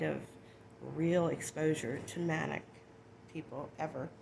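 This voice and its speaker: Through noticeable background noise, a woman speaks with a very deep, low pitch. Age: 60s. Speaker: personal vlogger sharing life experiences. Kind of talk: personal testimony vlog. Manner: hesitant, with many fillers.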